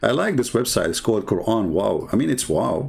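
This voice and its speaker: A man's voice with vocal fry at a moderate pace. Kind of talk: polemical livestream commentary. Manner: sarcastic, mocking.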